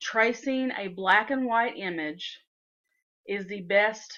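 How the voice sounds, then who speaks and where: A woman with a bright, sharp tone at a very slow pace, over a quiet background. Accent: Southern US. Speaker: software tutorial maker. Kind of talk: tutorial. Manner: casual, with frequent fillers.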